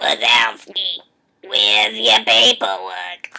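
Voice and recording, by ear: A put-on character voice, low-pitched and raspy, at a very slow pace.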